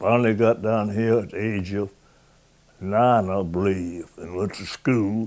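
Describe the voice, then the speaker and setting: A man with a South Carolina accent talks at a fairly low pitch. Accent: Southern US (South Carolina). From US South. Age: 90s. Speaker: war veteran. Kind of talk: oral history interview. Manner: halting.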